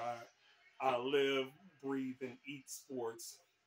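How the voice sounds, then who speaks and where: Noticeable background noise sits behind a man speaking with an American accent. His pitch is medium. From Texas, Houston area. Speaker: sports writer and vlogger. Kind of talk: casual vlog introduction. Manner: halting, many repeated words.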